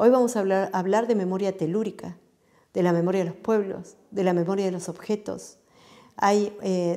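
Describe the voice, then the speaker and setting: Her pitch is medium, with ordinary variation and a dark, mellow tone. The woman speaks at a moderate pace against a quiet background. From Patagonia, Chubut, Argentina; Chubut, Argentina. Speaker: interviewee. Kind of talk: interview monologue. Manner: frequent hesitations (eh). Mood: earnest, reflective. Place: home room. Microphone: lapel.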